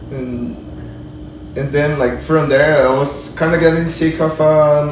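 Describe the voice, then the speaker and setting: A man with a Portuguese accent and fairly high pitch talks at a moderate pace with fairly even intonation, amid audible room echo and noticeable background noise. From Brazil. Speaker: 3D character modeler. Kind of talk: casual interview. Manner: halting.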